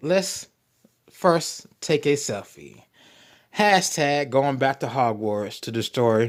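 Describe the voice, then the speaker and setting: A man speaks very slowly at a medium pitch, his intonation lively. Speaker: YouTube commentary host. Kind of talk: true crime commentary with read-out news. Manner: stumbling over words.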